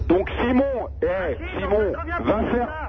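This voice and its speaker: A man speaks over noticeable background noise. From Paris, Kabyle family. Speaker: caller. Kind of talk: casual chat. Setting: phone call. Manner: animated.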